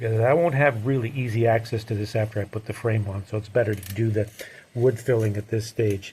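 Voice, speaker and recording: A somewhat breathy voice with fairly even intonation at a fairly quick pace. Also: man. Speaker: painter and frame builder. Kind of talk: tutorial. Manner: casual, hesitant.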